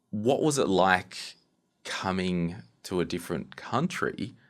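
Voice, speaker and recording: A man with an Australian accent talks at a very slow pace in a very deep, low pitch. His pitch varies in an ordinary way, and the recording is very clean with a silent background. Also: long, frequent pauses. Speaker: podcast host. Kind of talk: interview.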